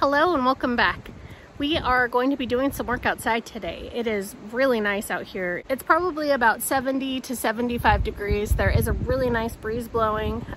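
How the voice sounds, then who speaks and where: A woman talks at a moderate pace in a high pitch with ordinary pitch variation. The sound is dry with no echo, with light background noise. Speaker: homestead vlogger. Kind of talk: casual vlog chat. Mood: cheerful, relaxed. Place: open country. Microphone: phone near.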